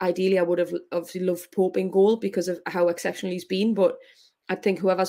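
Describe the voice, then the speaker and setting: Speaking very fast in a Geordie accent, a woman uses a medium pitch and a dark, mellow tone with monotone, flat intonation, on a very clean recording with a silent background. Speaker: professional footballer. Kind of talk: interview.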